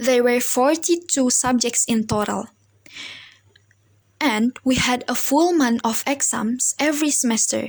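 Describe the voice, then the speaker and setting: A woman with a non-native accent speaks at a fairly slow pace in a high pitch, keeping her loudness very even, her pitch varying in an ordinary way, and leaving long, frequent pauses. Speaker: university student. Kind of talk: personal story for class assignment. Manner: halting, with self-corrections.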